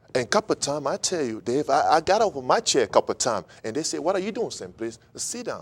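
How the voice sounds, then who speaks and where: A man talks very fast, with hardly any pauses and a fairly high pitch. His voice has vocal fry and very wide pitch swings, in a dry, close sound with no echo. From Cameroon. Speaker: interview guest, immigrant. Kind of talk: interview.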